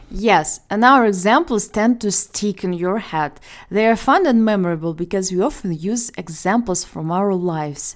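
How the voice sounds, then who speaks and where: With a Ukrainian accent, a woman speaks at a moderate pace and medium pitch with ordinary pitch variation. There are hardly any pauses on this very clean recording with a silent background. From Ukraine. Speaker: ESL teacher, podcast host. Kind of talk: casual educational podcast chat.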